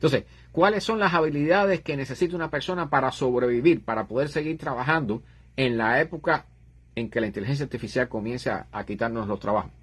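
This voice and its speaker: Somewhat breathy and fairly high-pitched, a man talks at a very fast pace with lively intonation. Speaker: livestream host on astronomy and science. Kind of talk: live stream chat.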